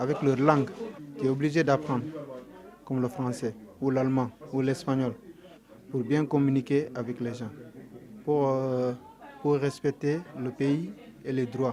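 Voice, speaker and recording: Over noticeable background noise, the speaker moves at a fairly slow pace with fairly even intonation and long, frequent pauses. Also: man, medium pitch for a man. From Senegal. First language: Mandinka (speaking French). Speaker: undocumented migrant. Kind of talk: interview testimony. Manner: halting, with hesitations.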